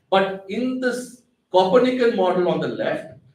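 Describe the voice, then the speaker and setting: A man speaks with lively intonation. There is audible echo in the room. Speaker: astrophysicist giving public science talk. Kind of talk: public lecture.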